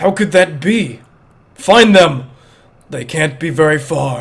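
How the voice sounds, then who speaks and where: A man puts on a character voice, speaking fairly slowly at a fairly high pitch. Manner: menacing.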